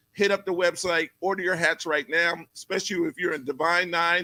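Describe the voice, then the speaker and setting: Loud and animated, a man talks at a high pitch with a bright, sharp tone. His pace is fairly quick, and the sound is dry and close with no echo. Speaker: talk show host. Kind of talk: casual live show interview. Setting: live studio set.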